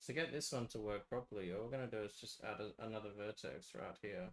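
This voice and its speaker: A soft-spoken man at a fairly quick pace. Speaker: game map developer streamer. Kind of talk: live stream tutorial.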